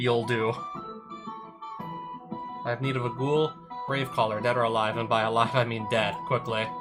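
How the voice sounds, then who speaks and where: With clear music in the background, a man does a raspy, put-on character voice at medium pitch and a moderate pace. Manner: quiet, sinister.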